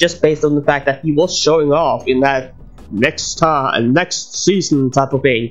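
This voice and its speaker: Speech at a moderate pace, with noticeable background noise. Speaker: YouTube reaction channel host. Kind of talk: casual video commentary. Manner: rambling, hesitant with fillers.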